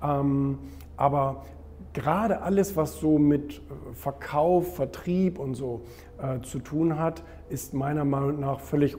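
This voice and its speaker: With a normal speaking voice, a man talks at a fairly high pitch and ordinary pitch variation. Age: 30s. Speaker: publisher and author. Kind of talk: interview.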